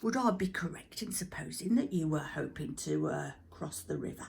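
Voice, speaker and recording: Using a put-on character voice, a woman speaks at a moderate pace with a very deep, low pitch. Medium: read story. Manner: pompous, hesitant with "uh" fillers.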